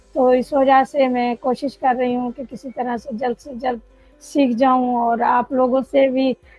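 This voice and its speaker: Music plays in the background as a woman speaks with a high pitch. Her intonation is monotone and flat, yet her loudness swings widely. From Pakistan, Karachi. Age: 60s. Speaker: adult student. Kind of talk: interview.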